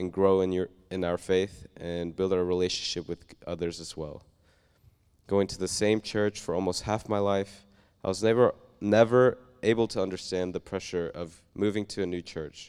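On a very clean recording with a silent background, a man with an American accent speaks at a very deep, low pitch with fairly even intonation. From Oklahoma. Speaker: church member. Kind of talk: testimony. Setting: church.

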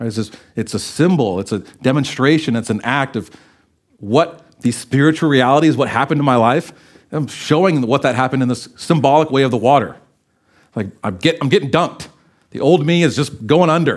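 Medium-pitched male speech in a normal speaking voice, at a moderate pace with ordinary pitch variation. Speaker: preacher. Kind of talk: sermon. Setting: church.

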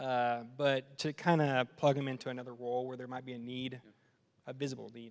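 With an American accent, a man talks at a fairly quick pace in a monotone, flat intonation, his loudness swinging widely. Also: medium pitch for a man. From Texas. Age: 30s. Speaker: worship leader candidate. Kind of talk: casual interview. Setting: church stage with audience.

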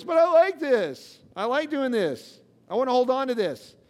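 A whiny, high-pitched, put-on character voice. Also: moderate pace.

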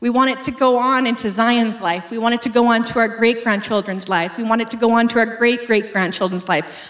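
A woman in a Canadian accent at a fairly high pitch, with fairly even intonation and audible room echo. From Western Canada. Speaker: pastor. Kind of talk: sermon.

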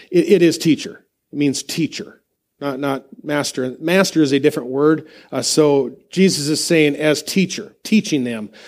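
A man's fairly high-pitched voice, a normal speaking voice, with ordinary pitch variation and moderate pace, on a very clean recording with a silent background. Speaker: pastor. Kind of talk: sermon. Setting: church.

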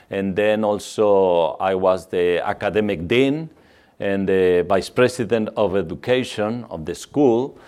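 A man with a Mexican accent and a fairly low voice, ordinary pitch variation, and a quiet background. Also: fairly slow pace. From Mexico. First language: Spanish. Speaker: missionary. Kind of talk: church talk. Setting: church. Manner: halting.

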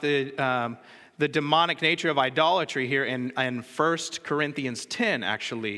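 This man has a bright, sharp tone, speaking at a moderate pace with ordinary pitch variation. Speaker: preacher. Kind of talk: sermon. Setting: church.

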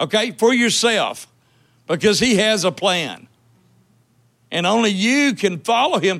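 A man's high-pitched voice at a fairly slow pace, with long, frequent pauses, on a very clean recording against a silent background. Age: 60s. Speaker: church elder preaching. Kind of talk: sermon. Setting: church.

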